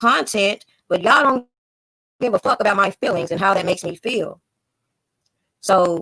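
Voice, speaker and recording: A woman talks at a moderate pace in a medium pitch, with ordinary pitch variation and long, frequent pauses. Her tone is bright and sharp, and the sound is dry and close with no echo. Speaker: YouTube livestream host. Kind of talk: casual livestream chat.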